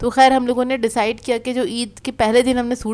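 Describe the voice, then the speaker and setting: The recording is very clean, with a silent background. A woman speaks at a moderate pace in a high pitch. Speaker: family lifestyle vlogger. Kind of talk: casual vlog voice-over chat.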